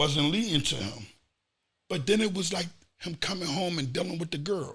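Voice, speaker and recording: With an animated tone, a man speaks at a high pitch with ordinary pitch variation. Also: moderate pace. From Philadelphia, US. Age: 40s. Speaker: former street figure. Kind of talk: podcast interview.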